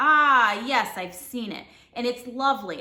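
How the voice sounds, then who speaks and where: This woman uses a put-on character voice, high-pitched and raspy, raised and projected. Her pace is moderate. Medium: read story. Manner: smooth, scheming.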